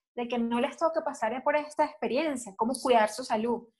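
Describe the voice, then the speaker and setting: A woman with a high-pitched voice talks at a moderate speed, her pitch moving up and down in an ordinary way. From Venezuela. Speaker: breast cancer survivor, advertiser and announcer. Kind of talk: interview testimony.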